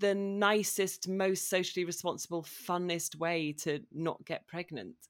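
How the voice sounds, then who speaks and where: A woman with an ordinary speaking voice talks at a medium pitch and moderate pace in a very clean recording with a silent background. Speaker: writer. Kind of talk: casual interview.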